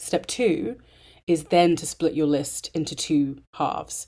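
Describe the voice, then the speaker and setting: A woman speaks with a very deep, low pitch, a dark, mellow tone and fairly even intonation. The recording is very clean, with a silent background. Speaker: interior design podcast host. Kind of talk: solo podcast monologue.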